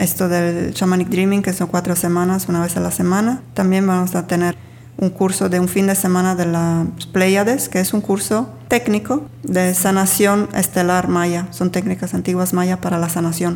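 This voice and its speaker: A woman at medium pitch and moderate pace, with ordinary pitch variation, very even loudness and noticeable background noise. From Sardinia, Italy. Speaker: spiritual healer and workshop teacher. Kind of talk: casual interview.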